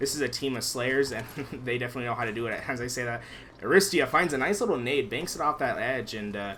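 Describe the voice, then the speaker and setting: Animated, very fast speech from a man at medium pitch with ordinary pitch variation, over noticeable background noise. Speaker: esports caster. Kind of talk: live commentary. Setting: live stream. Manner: soft-spoken. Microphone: too quiet.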